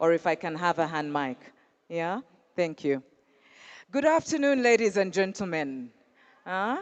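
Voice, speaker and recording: Speaking at a moderate pace with long, frequent pauses, a woman uses a fairly low pitch and very wide pitch swings. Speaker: panel moderator. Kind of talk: panel moderation. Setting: stage with audience. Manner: animated.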